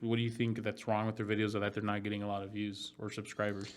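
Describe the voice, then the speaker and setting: Here is a man with a Southwestern US accent at a medium pitch. His intonation is monotone and flat. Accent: American, Southwest. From Phoenix, Arizona. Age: 20s. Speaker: real estate agent and YouTuber. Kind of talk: casual chat. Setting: in-person podcast studio.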